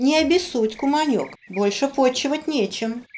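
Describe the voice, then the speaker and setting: In a cartoonish character voice, a female-sounding voice speaks at a high pitch. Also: moderate pace. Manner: sugary, flattering.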